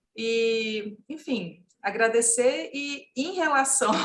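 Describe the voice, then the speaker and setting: Here a woman talks with a fairly high pitch. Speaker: legal consultant. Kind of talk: panel discussion. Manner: halting, many fillers.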